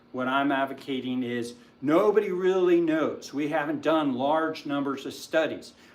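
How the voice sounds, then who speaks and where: Audible room echo accompanies a man talking at a moderate pace in a fairly high pitch with ordinary pitch variation. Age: 60s. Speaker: physician and health channel host. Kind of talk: livestream health talk. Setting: livestream. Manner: hesitant, many fillers.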